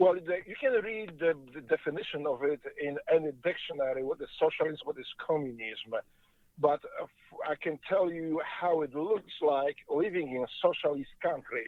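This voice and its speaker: A man with a Polish accent speaks at a fairly high pitch with ordinary pitch variation. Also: moderate pace. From Poland. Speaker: former Navy SEAL, interview guest. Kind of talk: interview. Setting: in a car on the freeway.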